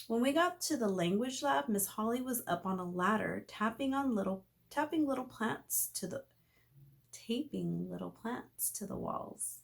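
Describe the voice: Vocal fry colors the voice, which moves at a moderate pace with lively intonation. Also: woman, fairly high pitch for a woman.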